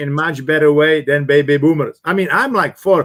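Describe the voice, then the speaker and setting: This man speaks with a Czech accent and a high pitch. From Czech Republic. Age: 60s. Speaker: business coach and former executive. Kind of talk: interview. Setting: live online talk. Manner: hesitant with many fillers.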